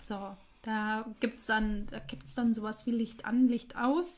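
This woman's voice sits fairly high in pitch and is somewhat breathy. Her pitch varies in an ordinary way. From Hesse, Germany (Reichelsheim). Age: 30s. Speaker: podcast co-host. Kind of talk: casual chat.

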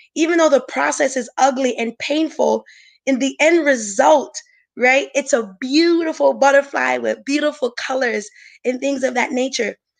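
A woman talks at a moderate pace with a high pitch. She has an American accent. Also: ordinary pitch variation, quiet background. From Brooklyn, New York. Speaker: marriage and family therapist. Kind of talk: interview with personal testimony. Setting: virtual summit session.

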